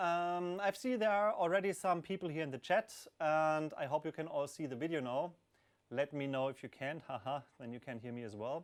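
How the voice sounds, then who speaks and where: A man at a fairly high pitch with a non-native accent, fairly quick pace and a quiet background. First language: not English. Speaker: hardware developer answering community questions. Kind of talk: live stream Q&A. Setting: live stream with camera, hot room under a spotlight. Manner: hesitant, many fillers.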